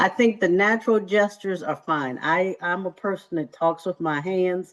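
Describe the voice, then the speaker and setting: Speaking at a moderate speed, the woman has a fairly low voice. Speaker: career workshop presenter. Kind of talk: workshop presentation. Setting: video call. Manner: animated.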